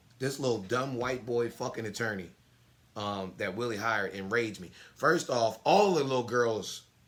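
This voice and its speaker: Noticeable background noise sits behind a man's voice. He has a medium pitch and ordinary pitch variation. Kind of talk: casual chat. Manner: fast.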